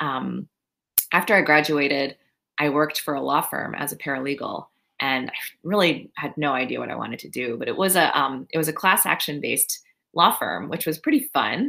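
A woman with a General American accent and a very deep, low pitch speaks at a fairly quick pace with vocal fry, a bright, sharp tone and ordinary pitch variation on a very clean recording with a silent background. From US, Maryland. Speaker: psychologist. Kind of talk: interview.

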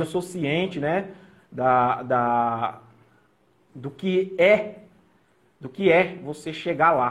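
With ordinary pitch variation, a man delivers his words at a very slow pace. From Brazil, São Paulo then Mato Grosso do Sul. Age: 30s. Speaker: nurse and police recruit. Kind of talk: personal testimony. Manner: halting. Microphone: audio feedback, echo.

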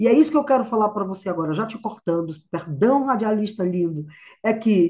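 A woman's somewhat breathy voice, dark and mellow in tone, with very wide pitch swings. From Brazil, sertão of Ceará. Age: 60s. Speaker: actress and choreographer. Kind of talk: interview. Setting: video call. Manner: animated.

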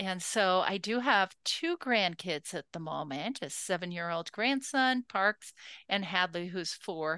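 A woman's medium-pitched voice, bright and sharp in tone, with lively intonation at a fairly slow pace, in a dry, close sound with no echo over a quiet background. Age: 60s. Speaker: podcast host, women's leadership scholar. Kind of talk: interview about own life.

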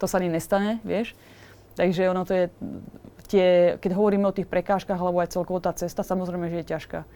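A woman speaks very fast at a medium pitch in a flat monotone, leaving long, frequent pauses, on a very clean recording with a silent background. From Slovakia. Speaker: tattoo artist. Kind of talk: casual chat.

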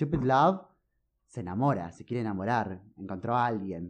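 A man at medium pitch with a normal speaking voice, moderate pace and lively intonation, over a quiet background. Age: 20s. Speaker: music fan guest. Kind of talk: casual chat.

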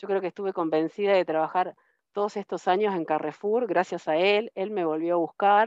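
Speaking at a moderate pace with ordinary pitch variation, a woman with a fairly low pitch is heard over a quiet background in a dry, close sound with no echo. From Argentina, Río Tercero, Córdoba province. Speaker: IT systems manager. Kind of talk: interview. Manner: halting, many repetitions and fillers.

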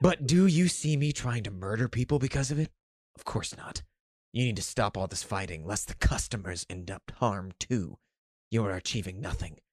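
A man's put-on character voice at a moderate pace. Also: fairly low pitch for a man. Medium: read story. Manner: stern, lecturing, self-righteous.

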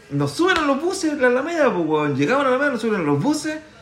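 A man at a very fast pace with very wide pitch swings, amid audible room echo and noticeable background noise. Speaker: podcast co-host. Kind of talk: casual chat. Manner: animated.

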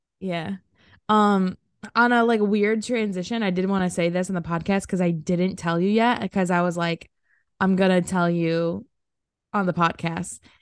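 A woman speaks at a moderate pace and medium pitch against a quiet background. She has an ordinary speaking voice with fairly even intonation. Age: 20s. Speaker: podcast co-host. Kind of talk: casual chat.

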